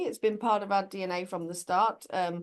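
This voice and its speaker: A woman with a British accent talks at a fairly quick pace against a quiet background. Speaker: corporate sustainability executive. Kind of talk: interview conversation.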